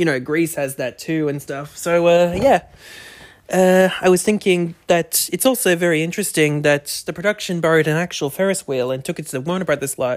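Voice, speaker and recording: A man talks at a fairly quick pace in an Australian accent. His pitch is high. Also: ordinary pitch variation. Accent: thick Australian. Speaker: podcast host. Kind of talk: casual chat, movie review podcast. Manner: chatty, upbeat.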